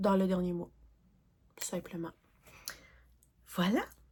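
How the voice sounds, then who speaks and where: A woman with a Quebec accent is heard on a very clean recording with a silent background. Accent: Québécois French. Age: 40s. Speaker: crafting YouTuber. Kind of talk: casual vlog talk. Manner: hesitant, many fillers.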